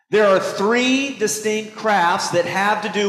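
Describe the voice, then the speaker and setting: A man with a high-pitched voice talks at a fairly slow pace in an animated tone, with audible room echo and noticeable background noise. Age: 50s. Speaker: pastor. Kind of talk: sermon.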